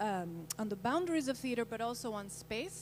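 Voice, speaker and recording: A woman speaks with a Spanish accent. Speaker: scholar and researcher. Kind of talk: panel discussion. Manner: halting.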